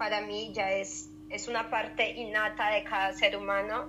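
At a fairly slow pace, a woman talks in an ordinary speaking voice. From Colombia. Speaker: podcast co-host, social worker and yoga instructor. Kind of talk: casual educational chat.

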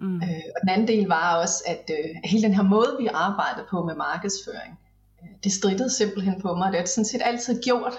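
A woman with a medium pitch and ordinary pitch variation speaks at a moderate pace, with noticeable background noise and audible room echo around her. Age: 40s. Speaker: business mentor. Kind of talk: casual interview chat.

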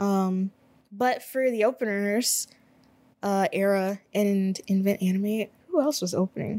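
A woman speaks at a fairly slow pace in a medium pitch, her dark, mellow tone held at a very even loudness. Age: 20s. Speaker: podcast host. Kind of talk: casual solo monologue. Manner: animated.

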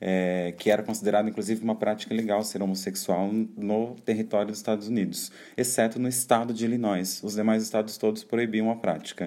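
Dark and mellow in tone, a man with a fairly low pitch speaks at a fairly quick pace with monotone, flat intonation. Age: 20s. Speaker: podcast host. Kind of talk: solo podcast monologue. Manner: casual, chatty.

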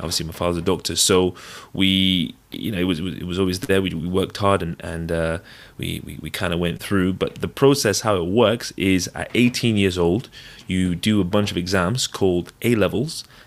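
At a moderate pace, a man with a southern English accent talks in a very deep, low voice with ordinary pitch variation. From England (London, then Devon). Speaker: physician. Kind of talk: casual interview. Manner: halting.

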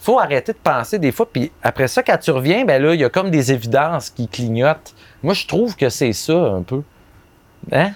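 Speaking in a Quebec accent, a man uses a fairly high pitch with very wide pitch swings. The sound is dry and close, with no echo. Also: moderate pace. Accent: Québécois French. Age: 30s. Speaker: advertising copywriter. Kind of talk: casual chat. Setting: outdoors.

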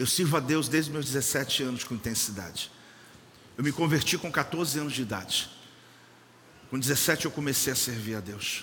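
A man speaks at a fairly high pitch with ordinary pitch variation and long, frequent pauses. Audible room echo and noticeable background noise surround him. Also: moderate pace. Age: 50s. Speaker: pastor. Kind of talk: sermon. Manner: animated.

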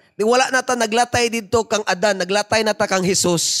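A man with a high voice speaks in an animated tone and ordinary pitch variation, his dry, close sound free of echo while music plays in the background. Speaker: preacher. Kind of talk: sermon with prayer, preaching in Cebuano mixed with English. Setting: church with congregation. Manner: fervent, animated preaching, switching between Cebuano and English; exhorting the congregation, asking them to respond.

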